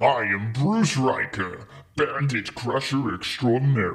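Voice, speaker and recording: A man puts on a booming character voice at a medium pitch, speaking at a fairly slow pace. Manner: booming, grandiose, heroic announcer.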